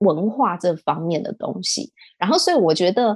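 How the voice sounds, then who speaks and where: A woman with a Taiwanese accent at a moderate pace, in a dry, close sound with no echo. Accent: Taiwanese Mandarin. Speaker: e-commerce entrepreneur. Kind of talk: casual interview.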